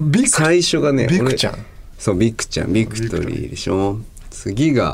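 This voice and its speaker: This man has an unremarkable speaking voice, lively intonation and a moderate tempo. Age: 30s. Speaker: guitarist and podcast co-host. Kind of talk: casual chat.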